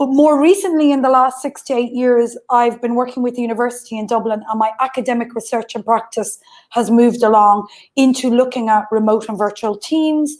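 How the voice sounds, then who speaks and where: This woman talks at a fairly quick pace with an Irish accent. Her pitch is high. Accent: soft Irish. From west coast of Ireland. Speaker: remote work consultant and academic. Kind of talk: online panel talk.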